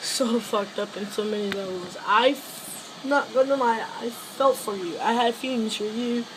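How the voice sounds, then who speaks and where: Noticeable background noise runs through the clip. A woman talks with a fairly high pitch. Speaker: vlogger making a video for a friend. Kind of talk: heartfelt personal message to camera. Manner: emotional, halting.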